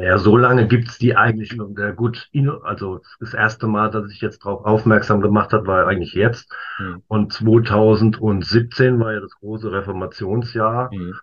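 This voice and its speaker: This man's voice is fairly low and somewhat breathy, with monotone, flat intonation. His loudness swings widely. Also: moderate pace. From Worms, Germany. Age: 50s. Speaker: stamp collector. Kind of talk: casual interview. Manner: halting, many fillers.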